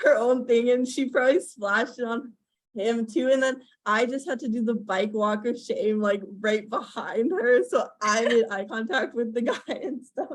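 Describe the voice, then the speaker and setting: A woman with a high-pitched voice talks at a moderate speed. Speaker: collab channel youtuber. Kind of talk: casual chat. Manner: halting.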